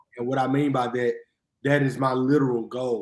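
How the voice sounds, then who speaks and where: Medium-pitched male speech at a moderate pace, with fairly even intonation. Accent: Mississippi. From US South, Jackson, Mississippi. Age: 30s. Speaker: history professor and minister. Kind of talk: podcast interview.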